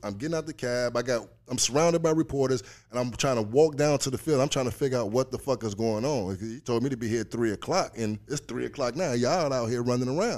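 A man at a medium pitch with ordinary pitch variation and a very fast pace, on a very clean recording with a silent background. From Chicago South Side. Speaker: former pro baseball player and author. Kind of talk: casual interview chat.

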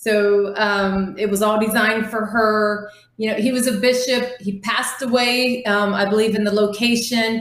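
With an American accent, the voice moves at a moderate pace in a monotone, flat intonation with hardly any pauses. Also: woman, fairly high pitch for a woman. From US Midwest (Ohio). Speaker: paranormal investigator. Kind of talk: casual interview. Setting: video call.

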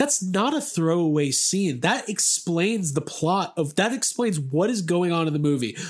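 At a moderate pace with hardly any pauses, a man speaks in a high voice with very wide pitch swings and very even loudness. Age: 30s. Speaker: podcast host. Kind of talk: casual chat.

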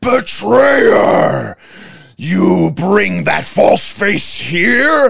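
A man performs a put-on character voice, high for a man. He speaks at a very slow pace. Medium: actual play. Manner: menacing, baiting.

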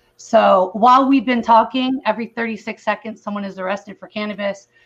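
A woman's somewhat breathy voice with fairly even intonation, in an American accent. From California. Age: 40s. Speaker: cannabis advocate. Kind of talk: video call interview.

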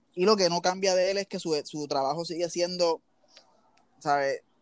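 In a Puerto Rican accent, a man with a high voice speaks at a fairly slow pace with ordinary pitch variation. The recording is very clean with a silent background and a dry, close sound with no echo. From Puerto Rico, Levittown. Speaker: basketball team equipment manager. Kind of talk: interview. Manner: halting, many fillers.

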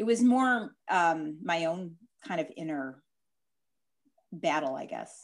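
A woman with a Chicago accent at a very slow pace, with long, frequent pauses and very wide pitch swings, on a very clean recording with a silent background. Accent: Chicago Midwestern, noticeable. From Chicago, US Midwest. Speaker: dietitian and diabetes educator. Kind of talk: interview, explaining expertise.

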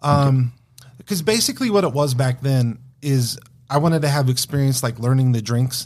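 In an American accent, a somewhat breathy man talks at a medium pitch with ordinary pitch variation. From Wyoming and Denver, US Mountain West. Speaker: bartender. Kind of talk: casual chat.

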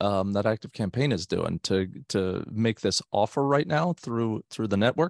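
With an American accent and lively intonation, a man speaks in a plain, everyday voice at a fairly slow pace, the sound dry and close with no echo. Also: very clean recording, silent background. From US, South Florida. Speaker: tech marketer, guest co-host. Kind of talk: casual chat.

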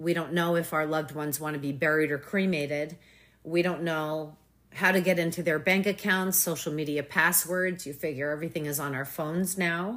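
A woman's very deep, low voice at a fairly quick pace with fairly even intonation, on a very clean recording with a silent background. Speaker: author, mother. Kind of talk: casual interview.

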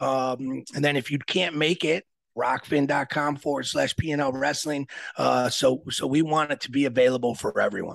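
A man talks in a plain, everyday voice, fairly high in pitch, at a moderate pace with fairly even intonation. The sound is dry and close, with no echo. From Aurora, Illinois (US Midwest). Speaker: wrestling coach and event organizer. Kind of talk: casual interview.

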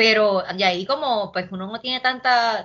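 With a normal speaking voice, a woman talks at a medium pitch with ordinary pitch variation. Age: 30s. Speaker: poet and urban planner. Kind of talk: casual interview chat.

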